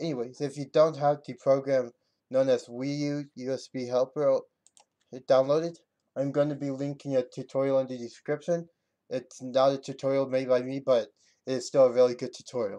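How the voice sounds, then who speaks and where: Dark and mellow in tone, a man speaks at a moderate pace with monotone, flat intonation. He leaves long, frequent pauses over a quiet background. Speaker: video game tutorial maker. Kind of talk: screen-recorded tutorial narration. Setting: home computer mic. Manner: halting, stuttering.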